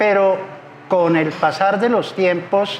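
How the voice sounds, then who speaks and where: The voice moves very slowly with fairly even intonation, with noticeable background noise behind it. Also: man. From southwestern Colombia, Popayán and Cali. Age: 70s. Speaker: civil engineer and public contracting consultant. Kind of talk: interview. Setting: restaurant.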